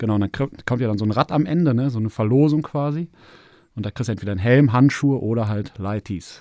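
A man's dark, mellow voice at medium pitch with ordinary pitch variation and a very fast pace, dry and close with no echo, on a very clean recording with a silent background. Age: 40s. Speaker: amateur cycling racer. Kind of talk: casual chat.

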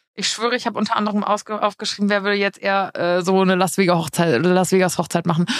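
A woman talks very fast at a medium pitch, with hardly any pauses. Her loudness stays very even and her intonation fairly even. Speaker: podcast co-host. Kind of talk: casual chat. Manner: same intonation for the opening line every time.

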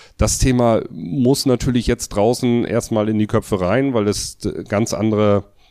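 A man talks at a fairly slow pace in a normal speaking voice, his pitch fairly low with ordinary variation. The sound is dry and close with no echo, on a very clean recording with a silent background. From northern Germany, Mecklenburg coast. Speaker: electrical contractor and trade association official. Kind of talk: interview.

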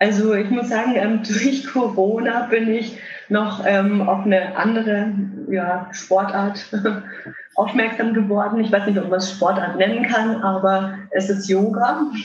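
A woman speaks at a fairly slow pace with a medium pitch and fairly even intonation, with audible room echo and noticeable background noise. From Germany, Würzburg (Lower Franconia). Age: 30s. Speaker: electric wheelchair hockey player. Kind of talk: interview.

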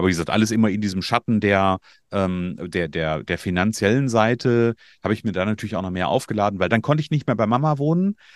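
A man talks at a very fast pace with a fairly low pitch and lively intonation. The sound is dry and close, with no echo. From Germany, northern Hesse. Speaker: coach for media designers and podcast agency owner. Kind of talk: interview.

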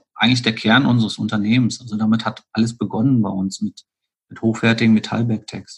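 Fairly quick, monotone and flat speech from a man. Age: 40s. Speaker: golf accessories entrepreneur. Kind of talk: interview. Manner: hesitant, many filler sounds.

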